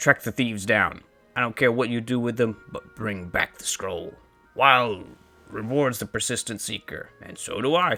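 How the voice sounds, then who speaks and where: Over faint background music, a man puts on a raspy character voice at medium pitch and a moderate pace. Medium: solo performance. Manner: haughty, curt.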